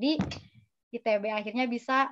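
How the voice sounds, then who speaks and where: A woman in a West Javanese accent speaks at a high pitch with ordinary pitch variation over a quiet background. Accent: Sundanese. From West Java, Indonesia (Sundanese). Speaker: graduate student; webinar speaker. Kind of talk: interview with slide presentation. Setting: video call from her apartment. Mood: friendly, smiling. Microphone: video call.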